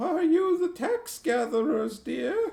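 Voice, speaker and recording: In a put-on character voice, a man sounds squeaky and shaky at an extremely high pitch, speaking at a fairly slow pace. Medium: read story. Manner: wary, calls everyone dear.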